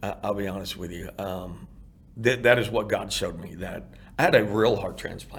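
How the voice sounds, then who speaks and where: With an American accent and a fairly low pitch, a man speaks at a moderate pace in a somewhat breathy voice with fairly even intonation, with audible room echo around him. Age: 50s. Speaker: heart transplant recipient and outreach founder. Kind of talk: interview testimony.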